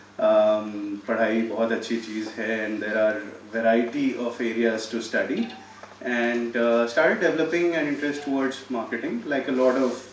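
With an Indian accent, a man talks at a medium pitch and moderate pace with fairly even intonation, amid audible room echo and light background noise. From India, Delhi. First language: Hindi. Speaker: startup incubator CEO; guest. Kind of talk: talk to students. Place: hall. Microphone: podium.

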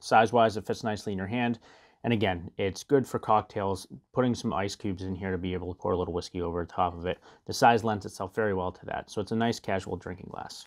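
Very fast and fairly low-pitched, a man talks with fairly even intonation. The background is quiet. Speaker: whiskey reviewer. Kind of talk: tutorial. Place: home room. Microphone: lapel.

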